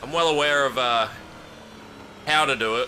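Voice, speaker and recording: With an Australian accent, the speaker uses ordinary pitch variation while music plays in the background. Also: man. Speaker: gaming streamer. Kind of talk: live gameplay stream chat. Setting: home stream room. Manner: casual, conversational.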